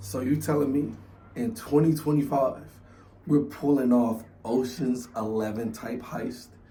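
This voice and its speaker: Animated in tone, a man speaks at a medium pitch and fairly slow pace with ordinary pitch variation, and audible room echo. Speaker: youtube reactor. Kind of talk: casual chat.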